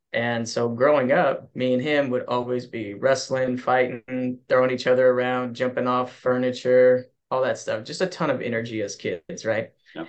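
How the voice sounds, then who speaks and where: A man's unremarkable speaking voice at medium pitch, fairly even in intonation, at a moderate pace. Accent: American. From US West, Kerman, California. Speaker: martial arts coach. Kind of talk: casual chat.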